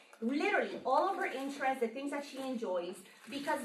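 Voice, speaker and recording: A woman's raised, projected voice with a Spanish accent and lively intonation, amid noticeable background noise and audible room echo. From Colombia. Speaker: marketing workshop presenter. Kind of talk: workshop presentation. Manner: loud.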